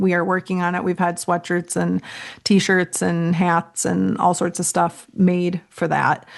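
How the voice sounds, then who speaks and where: Against a quiet background, a woman speaks with a Minnesotan accent. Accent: Minnesota. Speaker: real estate entrepreneur and creator. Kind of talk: podcast interview.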